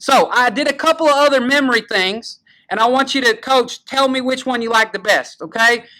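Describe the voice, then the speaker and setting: With a Southern US accent, a man speaks in a raised, projected voice at an extremely high pitch, with a bright, sharp, animated tone. He moves at a fairly quick pace with ordinary pitch variation, on a very clean recording with a silent background. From US South. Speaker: high school football show host. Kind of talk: casual chat.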